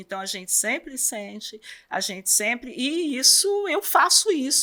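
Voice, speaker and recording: A bright, sharp tone at a fairly slow pace. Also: woman. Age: 60s. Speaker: superintendent of a support house for children with cancer. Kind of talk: interview. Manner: hesitant, many fillers.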